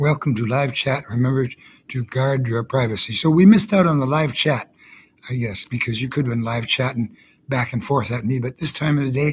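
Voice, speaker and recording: A man with an American accent, medium-pitched and somewhat breathy, at a moderate pace. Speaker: vlogger. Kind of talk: live stream monologue. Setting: hospital room.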